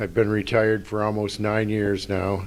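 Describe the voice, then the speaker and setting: A man speaks at a very slow pace. His pitch sits fairly low. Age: 60s. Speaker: retiree, fraud victim. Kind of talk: testimony.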